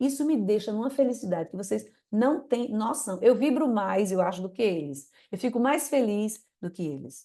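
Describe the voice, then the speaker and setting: Her voice is fairly high and dark and mellow in tone, and this woman moves at a moderate pace with very wide pitch swings. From Northeast Brazil. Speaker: dentist and business mentor. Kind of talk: live stream coaching talk. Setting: live stream. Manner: animated.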